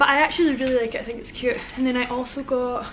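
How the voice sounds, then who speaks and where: A woman speaks at a very fast pace in a high voice, with light noise in the background. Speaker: vlogger. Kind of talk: casual vlog chat. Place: home room. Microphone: phone near.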